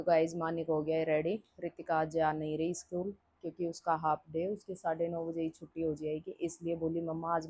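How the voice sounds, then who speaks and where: A woman speaks at a fairly slow pace in a fairly low pitch, her tone dark and mellow and her intonation flat and monotone. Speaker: vlogger and mother. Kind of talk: casual vlog talk. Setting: at home.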